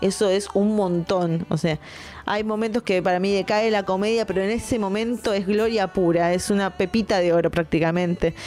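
Against noticeable background noise, a woman of medium pitch talks at a moderate pace with very even loudness and fairly even intonation. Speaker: film critic podcaster. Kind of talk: casual film review monologue.

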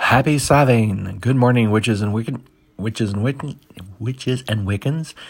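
With an American accent, a man speaks in a somewhat breathy voice on a very clean recording over a silent background. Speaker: pagan podcast host. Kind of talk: brisk daily weather report read off a forecast, numbers rattled through. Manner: quick, matter-of-fact list reading of temperatures and times; friendly and informal, stumbles and laughs at own slips.

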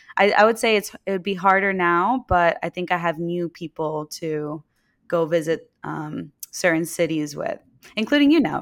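A woman with an American accent and a fairly low pitch speaks in a plain, everyday voice with ordinary pitch variation. The sound is dry and close with no echo, on a very clean recording with a silent background. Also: moderate pace. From New York City (Queens). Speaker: entrepreneur, game company founder. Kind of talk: casual chat.

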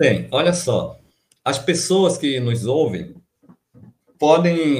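A man talks in a somewhat breathy voice. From Amapá, Brazilian Amazon. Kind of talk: interview. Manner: halting, with repetitions.

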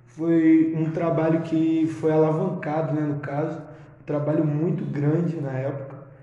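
Against noticeable background noise and audible room echo, a man speaks in a fairly high voice. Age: 20s. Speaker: musician and music producer. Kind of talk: casual chat.

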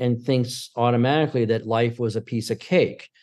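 A dark, mellow tone comes through. The delivery moves at a moderate pace. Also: man, quiet background. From New York State (Syracuse). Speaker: film director and producer. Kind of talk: interview. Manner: halting, many fillers and restarts; talkative.

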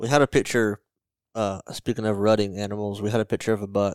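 A man's fairly low, monotone voice with flat intonation and a Southern US accent at a fairly quick pace, dry and close with no echo. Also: very clean recording, silent background. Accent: Southern US (Georgia). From north Georgia, US South. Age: 20s. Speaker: podcast host. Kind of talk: scripted outro; casual chat.

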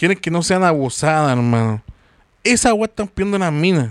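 A man at a moderate pace. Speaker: podcast host. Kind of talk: casual chat.

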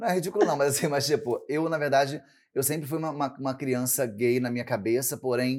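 On a very clean recording with a silent background, a man with a fairly high pitch talks at a fairly quick pace in an unremarkable speaking voice with ordinary pitch variation. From Brazil, São Gonçalo (Rio de Janeiro state). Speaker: drag queen and show producer. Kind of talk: casual chat.

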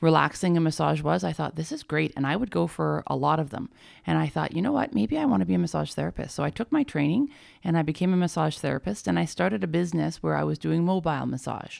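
A woman speaks with a western Canadian accent. She talks at a very fast pace. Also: very clean recording, silent background. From Alberta, Canada. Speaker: paramedic and energy healer. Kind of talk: interview.

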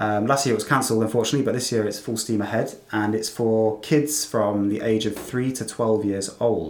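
With an English Midlands accent, a man at medium pitch talks with fairly even intonation and hardly any pauses. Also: fairly quick pace. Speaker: English academy owner and podcast co-host. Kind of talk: casual chat.

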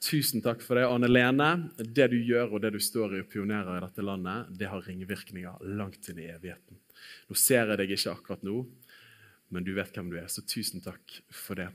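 An ordinary speaking voice: a man's fairly low pitch with ordinary pitch variation, a fairly quick pace, big swings in loudness, and a very clean recording with a silent background. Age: 30s. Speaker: preacher. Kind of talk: sermon.

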